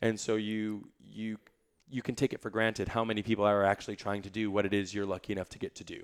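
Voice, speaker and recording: A man with an American accent speaks at a very fast pace in a fairly low pitch, his intonation monotone and flat, his loudness swinging widely, in a dry, close recording with no echo and a very clean, silent background. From US suburbs. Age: 30s. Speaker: musical theatre performer. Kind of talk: casual interview.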